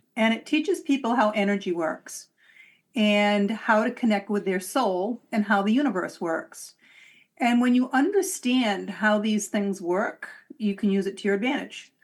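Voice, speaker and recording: A woman's somewhat breathy, fairly high voice with a Boston accent and ordinary pitch variation, on a very clean recording with a silent background. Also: moderate pace. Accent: Boston-area. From Massachusetts, near Boston. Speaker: psychic medium and relationship coach. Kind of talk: podcast interview.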